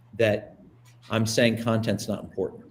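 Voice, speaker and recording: A man speaks in an animated tone that is somewhat breathy. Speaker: presentation coach. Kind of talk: webinar presentation. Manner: fast.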